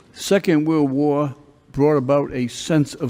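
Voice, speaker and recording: The voice has a dark, mellow tone and moves at a fairly slow pace. Its pitch varies in an ordinary way. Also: man. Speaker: judge. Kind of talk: courtroom questioning.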